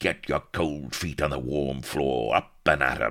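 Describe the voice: A man does a put-on character voice, growling and cackling at an extremely low pitch with a fairly bright tone. He goes at a fairly slow pace with ordinary pitch variation on a very clean recording with a silent background.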